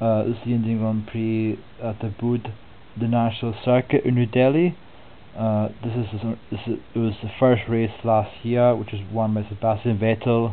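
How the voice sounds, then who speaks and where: With a Scottish accent, a man speaks at a medium pitch and a moderate pace. His intonation stays monotone and flat. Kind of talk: soft-spoken sports preview narration. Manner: soft-spoken, relaxed.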